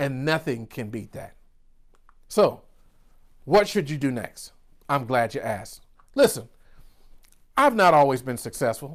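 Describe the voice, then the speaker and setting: Lively in intonation and fairly high in pitch, a man speaks with long, frequent pauses and big swings in loudness on a very clean recording with a silent background. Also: fairly slow pace. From US South, rural Georgia. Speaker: business coach. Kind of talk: virtual keynote speech. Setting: virtual summit recording. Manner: animated.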